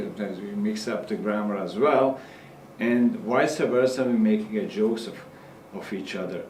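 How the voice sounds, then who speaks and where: Speaking with a Serbian accent, a man keeps a medium pitch, ordinary pitch variation and a moderate pace. Audible room echo and noticeable background noise fill the recording. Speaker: immigrant interviewee. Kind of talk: documentary interview.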